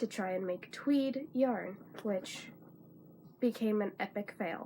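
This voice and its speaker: The voice is quiet and somewhat breathy. It moves at a very slow pace with ordinary pitch variation. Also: woman. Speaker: crafter, spinner. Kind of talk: casual talk to camera.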